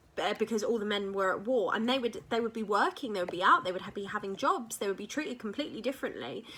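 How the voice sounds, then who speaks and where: Her voice is a plain, everyday voice, fairly high for a woman, with lively intonation. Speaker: English teacher. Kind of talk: lecture.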